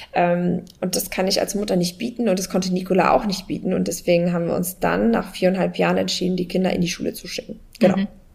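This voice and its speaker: A woman speaks very fast at a medium pitch, with hardly any pauses. Her intonation stays fairly even. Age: 30s. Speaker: online entrepreneur, travelling mother. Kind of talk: casual interview chat.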